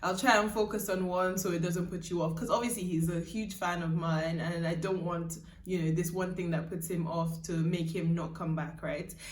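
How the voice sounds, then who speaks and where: With audible room echo, the speech keeps a moderate pace, fairly even intonation, and hardly any pauses. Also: woman, fairly low pitch for a woman. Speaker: YouTuber and singer. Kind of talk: casual vlog. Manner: chatty, many fillers.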